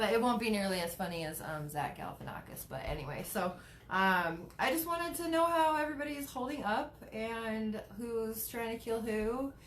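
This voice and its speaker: Through audible room echo, a woman's fairly high voice makes very wide pitch swings. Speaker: cannabis advocate and live streamer. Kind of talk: casual live stream chat. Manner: stutters, many fillers.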